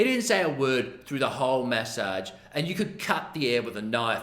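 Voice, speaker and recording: With an Australian accent, a man speaks at a moderate pace with lively intonation, and audible room echo surrounds him. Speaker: massage therapist. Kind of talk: storytelling. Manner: casual, animated.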